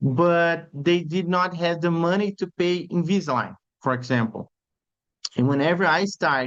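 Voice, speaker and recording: A high-pitched man's voice in a Brazilian accent, at a fairly slow pace. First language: Portuguese. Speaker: orthodontist. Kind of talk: webinar lecture. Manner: halting.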